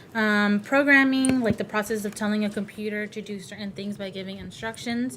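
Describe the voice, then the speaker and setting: A woman's fairly high voice at a fairly quick pace, with hardly any pauses, fairly even intonation and big swings in loudness. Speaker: robotics camp instructor. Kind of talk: online class presentation. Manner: fast.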